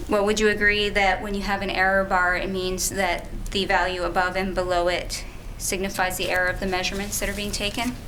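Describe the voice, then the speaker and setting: A soft-spoken woman talks at a medium pitch in a flat monotone. The room echoes audibly, with noticeable noise behind her. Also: fairly quick pace. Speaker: lawyer. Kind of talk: cross-examination.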